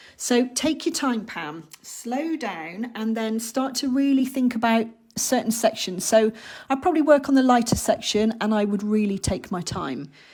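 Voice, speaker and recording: In an English accent, a woman with a fairly high pitch talks at a moderate pace with lively intonation. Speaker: art teacher. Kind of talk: live online workshop tutorial. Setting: livestream.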